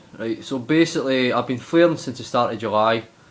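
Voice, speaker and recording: Noticeable background noise surrounds a man speaking with ordinary pitch variation. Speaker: vlogger sharing health journey. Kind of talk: casual video diary. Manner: halting.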